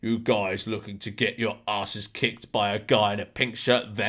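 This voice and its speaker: Using a raspy, put-on character voice, a man talks at a moderate pace, fairly low in pitch, with monotone, flat intonation. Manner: calm, slow, menacing.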